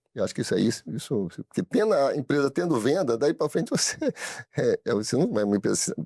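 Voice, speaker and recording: The speaker uses very wide pitch swings and vocal fry, with a dark, mellow tone at a very fast pace. The sound is dry and close, with no echo. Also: man, very clean recording, silent background. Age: 60s. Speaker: business owner. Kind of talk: studio interview. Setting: studio. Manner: halting, many repetitions.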